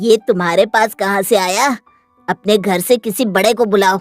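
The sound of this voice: A woman's cartoonish character voice at a medium pitch, with faint music in the background. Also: moderate pace.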